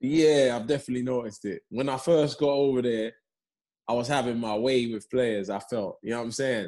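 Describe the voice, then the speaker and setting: With a London accent, a man speaks at a fairly quick pace in a medium pitch, his tone dark and mellow and his intonation fairly even. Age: 30s. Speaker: professional footballer. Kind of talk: casual chat.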